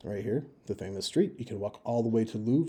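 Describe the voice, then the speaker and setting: A man's somewhat breathy, dark, mellow voice at a medium pitch and a moderate pace. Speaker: travel advice video maker. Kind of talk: informal screen-share walkthrough. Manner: casual with fillers.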